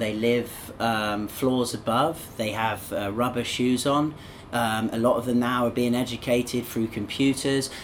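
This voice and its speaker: A man at medium pitch and a moderate pace, with noticeable background noise. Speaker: podcast host. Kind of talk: casual chat. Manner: upbeat, humorous, animated.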